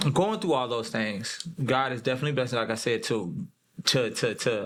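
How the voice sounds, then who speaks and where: A man with a normal speaking voice, lively intonation and a moderate pace, in a very clean recording with a silent background. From Texas. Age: 30s. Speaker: mental health speaker, former prisoner. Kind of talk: interview. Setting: studio.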